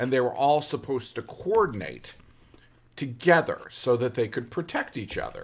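This man speaks at a medium pitch with vocal fry and lively intonation. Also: moderate pace. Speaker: film podcast co-host. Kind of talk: casual chat. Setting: eating breakfast while recording.

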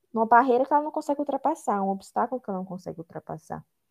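A high-pitched woman's voice with very wide pitch swings. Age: 20s. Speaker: psychology student and HR intern. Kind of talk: casual interview.

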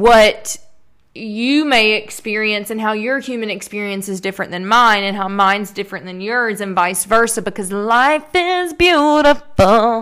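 A woman with a strong Southern US accent speaks in an animated tone with lively intonation. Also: fairly high pitch for a woman. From US South. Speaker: podcast host. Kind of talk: casual solo monologue. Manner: chatty, animated.

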